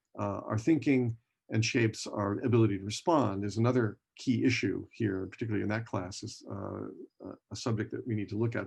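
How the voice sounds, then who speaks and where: This is a man with a medium-pitched voice. His delivery is somewhat breathy. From US West Coast, San Francisco Bay Area. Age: 60s. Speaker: professor. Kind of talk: lecture. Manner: halting, many fillers and restarts.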